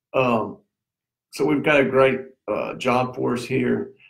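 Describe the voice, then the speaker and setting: A man with a Tennessee accent. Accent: Southern US (Tennessee). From US South, Middle Tennessee. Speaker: local community figure. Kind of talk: casual interview. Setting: live stream.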